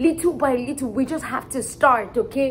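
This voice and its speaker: A woman's high-pitched voice over light background noise. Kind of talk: storytelling vlog. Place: home room. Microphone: camera far.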